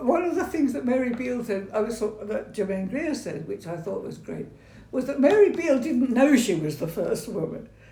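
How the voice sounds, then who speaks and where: A woman speaks at a moderate pace in a fairly high voice with very wide pitch swings, over noticeable background noise. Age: 80s+. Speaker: retired architect and church site manager. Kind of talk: interview answer. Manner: hesitant, conversational.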